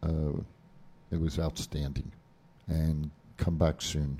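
Speaking at a fairly slow pace, a man has a very deep, low voice with a dark, mellow tone. He has a New Jersey accent. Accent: New Jersey American. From New Jersey, US. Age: 60s. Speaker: wrestling show co-host. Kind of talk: casual sports talk radio. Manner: animated.

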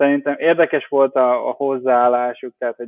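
This man talks at a moderate pace with a medium-pitched voice. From Hungary, Baranya county near Pécs. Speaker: crypto investment director. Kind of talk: interview. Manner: halting, many fillers.

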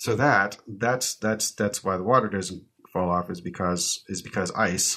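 The tone is bright and sharp, the intonation fairly even, and the pace fairly slow in a very clean recording with a silent background. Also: man, fairly low pitch for a man. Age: 40s. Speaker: podcast co-host. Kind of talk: casual chat. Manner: halting.

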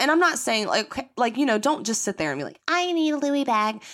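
A woman speaks in a high, animated voice with a Southern US accent and very wide pitch swings. The recording is very clean, with a silent background. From US South. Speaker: podcast host. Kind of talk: casual chat.

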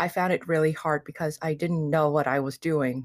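A woman speaks at a moderate pace in a fairly low pitch. Hers is an unremarkable speaking voice. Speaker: design student. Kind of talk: casual interview. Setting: video call.

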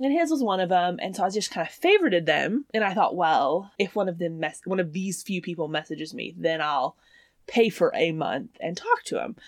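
Speaking at a fairly quick pace, a woman talks in a Southern US accent. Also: medium pitch for a woman, lively intonation. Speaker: podcast co-host. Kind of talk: casual chat.

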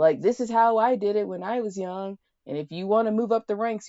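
A woman with an ordinary speaking voice and an American accent, at a moderate pace with ordinary pitch variation. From United States, Colorado. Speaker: guest, RV traveler. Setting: in an RV, remote call.

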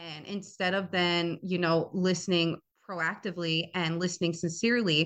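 Here a woman with a normal speaking voice talks at a moderate pace and a fairly low pitch. Her intonation is fairly even, and the background is quiet. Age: 20s. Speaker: podcast host. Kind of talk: solo podcast monologue. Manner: casual.

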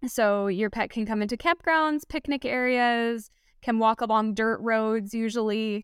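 In a very clean recording with a silent background and dry, close sound with no echo, a woman with an American accent and an unremarkable speaking voice talks at a fairly high pitch with ordinary pitch variation. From US, Los Angeles (Southern California). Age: 20s. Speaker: wilderness guide and van lifer. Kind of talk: casual interview chat.

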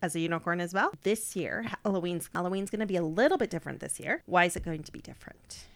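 A woman's fairly low voice at a very fast pace, with ordinary pitch variation, big swings in loudness and hardly any pauses. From South Africa. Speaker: podcast co-host. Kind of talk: casual chat.

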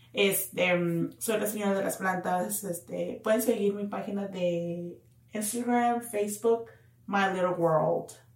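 A woman at a medium pitch speaks at a very slow pace with fairly even intonation, with audible room echo and noticeable background noise. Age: 30s. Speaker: podcast co-host. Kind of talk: casual chat.

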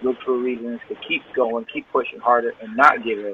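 The speaker talks at a fairly quick pace with an American accent. Background noise is noticeable. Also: man. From Bowling Green, Ohio (near Toledo). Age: 30s. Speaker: rapper. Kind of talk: interview.

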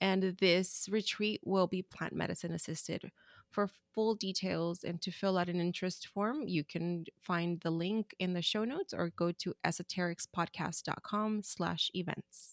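A woman's medium-pitched, ordinary speaking voice at a fairly slow pace with fairly even intonation. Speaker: podcast co-host. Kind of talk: casual chat.

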